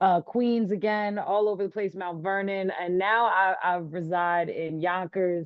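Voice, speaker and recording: The speaker talks at a fairly slow pace in a New York accent, with hardly any pauses. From Long Island, New York. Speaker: rapper and teacher. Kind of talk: interview. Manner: casual.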